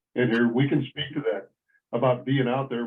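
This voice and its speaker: Monotone and flat, a man with an American accent speaks at a moderate pace and medium pitch. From United States. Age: 60s. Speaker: roundtable host, ex-military. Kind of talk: group discussion. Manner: halting, repetitive.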